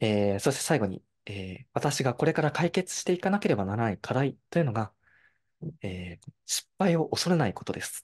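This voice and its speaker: His pitch swings very widely as this man talks. He keeps a medium pitch overall at a moderate pace. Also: quiet background. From Japan, Fukushima, Koriyama; Fukushima, Japan. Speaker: university student intern; presenter. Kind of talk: online presentation. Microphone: video call.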